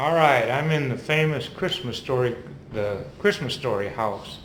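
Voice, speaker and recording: A man with an American accent at a moderate pace, ordinary pitch variation, audible room echo and noticeable background noise. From Minnesota. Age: 70s. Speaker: vlogger. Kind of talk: casual walking-tour commentary. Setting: indoors on a house tour, handheld camera. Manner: casual, halting.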